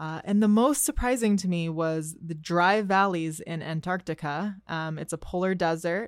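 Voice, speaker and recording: A woman's fairly low-pitched voice, an ordinary speaking voice with an American accent, ordinary pitch variation, a moderate pace and hardly any pauses. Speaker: trivia presenter. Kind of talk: scripted trivia reading.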